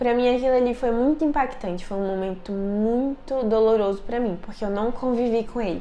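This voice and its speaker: There is audible room echo as a woman talks with hardly any pauses in a fairly high voice. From Brazil, Brasília. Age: 20s. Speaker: youtuber. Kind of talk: personal storytelling vlog. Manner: casual, conversational.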